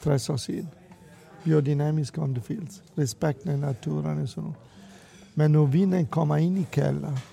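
Pausing long and often, a man speaks at a very slow pace in a fairly high pitch with ordinary pitch variation. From Italy. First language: Italian (speaking Danish). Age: 60s. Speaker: restaurateur. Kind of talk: interview. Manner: halting with many fillers.

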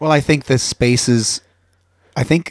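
In a Southern California accent, a man talks at a moderate pace, the sound dry and close with no echo. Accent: sounds like a Valley Girl. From Youngstown, Ohio. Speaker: podcast host. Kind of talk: interview.

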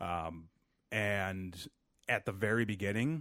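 A man talks at a very slow pace. The sound is dry and close, with no echo. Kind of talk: mock radio-host intro, playful showman banter. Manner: animated, theatrical, tongue-in-cheek showman.

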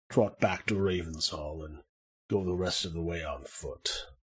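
Speaking at a fairly slow pace, a man performs a put-on character voice. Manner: breezy, grandiose, reassuring.

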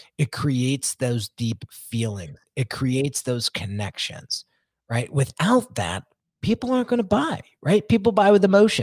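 On a very clean recording with a silent background and a dry, close sound with no echo, a man at medium pitch talks at a fairly slow pace, somewhat breathy, with very wide pitch swings. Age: 40s. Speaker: branding specialist. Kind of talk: interview. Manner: casual.

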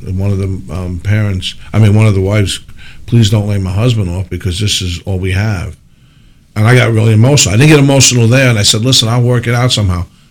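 This man speaks very fast in a New Jersey accent, at a fairly low pitch. His pitch varies in an ordinary way. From New Jersey (Parsippany). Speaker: mayor. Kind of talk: radio interview.

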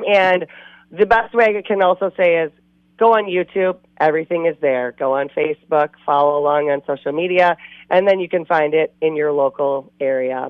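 Her pitch is fairly low and varies in an ordinary way. The woman keeps a moderate pace. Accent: Upper Midwest. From Wisconsin. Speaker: outdoor TV show host. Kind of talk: casual interview. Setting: phone call.

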